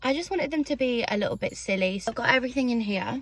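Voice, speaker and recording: A woman is talking. There is a somewhat breathy quality to her voice. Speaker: beauty vlogger. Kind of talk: casual chat. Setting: in a car.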